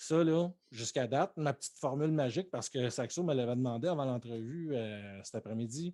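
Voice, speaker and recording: Speaking with a Quebec accent at a moderate pace, the voice shows ordinary pitch variation in a very clean recording with a silent background. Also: man. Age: 30s. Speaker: Twitch streamer. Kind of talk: casual chat. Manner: animated.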